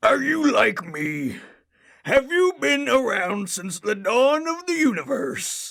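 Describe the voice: A woman's put-on character voice, slow and fairly high-pitched, with big pitch swings, a fairly bright tone and vocal fry.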